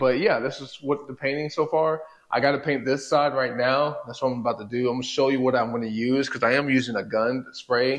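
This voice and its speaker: The man speaks at a fairly quick pace. Behind him the background stays quiet. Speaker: home garage DIY vlogger. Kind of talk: casual vlog chat. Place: garage. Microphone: lapel.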